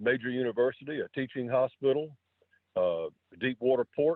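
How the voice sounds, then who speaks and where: The speaker has a coastal North Carolina accent. The pace is moderate. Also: man. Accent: coastal North Carolina Southern. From North Carolina coast, Wilmington. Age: 70s. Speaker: city councilman. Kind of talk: radio interview. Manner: halting.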